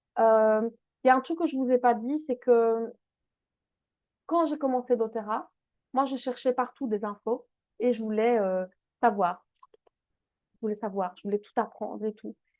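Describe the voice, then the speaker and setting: The speech moves at a fairly slow pace with long, frequent pauses. Loudness swings widely throughout. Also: woman, fairly high pitch for a woman, ordinary pitch variation. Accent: Belgian. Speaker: essential oils business coach. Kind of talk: online masterclass. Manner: animated.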